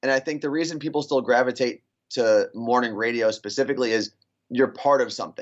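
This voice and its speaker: A man with an unremarkable speaking voice talks at a fairly quick pace and medium pitch, keeping his intonation fairly even. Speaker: radio morning show host. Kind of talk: casual chat.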